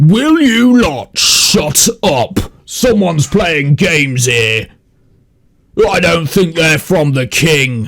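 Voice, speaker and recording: A man's put-on character voice, fairly high in pitch, at a very slow pace. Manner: yelling, irritated.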